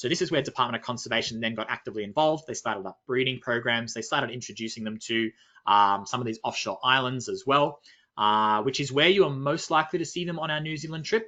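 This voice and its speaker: A man with an Australian accent at a medium pitch, ordinary pitch variation, and a very fast pace. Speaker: nature expedition leader. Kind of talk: webinar presentation.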